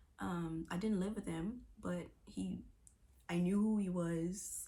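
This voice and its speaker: A soft-spoken woman's voice with audible room echo. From Bahamas, Nassau. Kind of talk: testimony.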